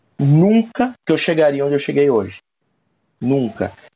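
A man speaks with lively intonation. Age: 40s. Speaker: national sales manager. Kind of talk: interview. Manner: halting.

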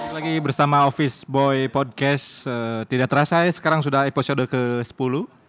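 Noticeable background noise sits behind a man with a fairly high voice. He speaks with hardly any pauses. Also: moderate pace. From West Java (Sundanese, Bandung). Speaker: podcast host, office worker. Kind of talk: casual chat. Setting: recording after work in the evening. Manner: animated, laughing often.

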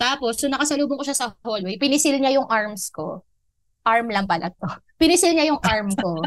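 A woman with a high pitch, very wide pitch swings and a moderate pace. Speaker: podcast co-host, TV production staff. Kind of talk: casual chat.

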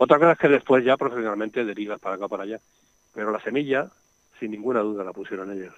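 A man talking at a very fast pace in a Madrid accent, with big swings in loudness and a dry, close sound with no echo. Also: fairly low pitch for a man, ordinary pitch variation. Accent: Castilian Spanish (Madrid). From Madrid, Spain. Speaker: nature sound recordist and author. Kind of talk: radio interview.

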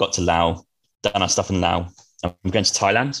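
A very deep, low-pitched man at a moderate pace with fairly even intonation on a very clean recording, silent background. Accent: Norfolk. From eastern England, Norwich. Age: 30s. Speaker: traveller. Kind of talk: casual chat.

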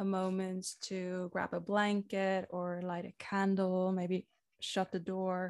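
With a non-native accent, a woman of medium pitch speaks at a very slow pace in a monotone, flat intonation, captured in a very clean recording with a silent background. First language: not English. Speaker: women's coach. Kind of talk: guided meditation; interview conversation.

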